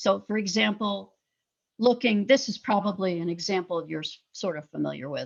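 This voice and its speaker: At a moderate pace, a woman speaks at medium pitch with ordinary pitch variation, vocal fry and big swings in loudness. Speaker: professor. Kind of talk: lecture.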